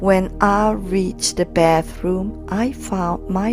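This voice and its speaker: Music plays behind a woman as she talks. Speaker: parent. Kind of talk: poetry slam reading.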